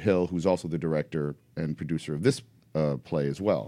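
A man with a New York accent speaks at a fairly quick pace in a very deep, low voice. His tone is dark and mellow, in a very clean recording with a silent background. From New York City, Upper West Side Manhattan. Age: 40s. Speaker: comic book artist and writer. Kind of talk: casual chat. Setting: studio.

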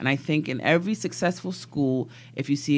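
On a very clean recording with a silent background, a woman with an American accent speaks at a moderate pace, using lively intonation and vocal fry. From East London, then New York from age ten. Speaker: politician. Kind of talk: interview.

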